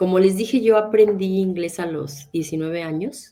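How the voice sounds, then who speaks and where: This woman's voice sits at a medium pitch. Its pitch moves in a normal way. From Mexico. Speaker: interpreter and translator. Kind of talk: interview.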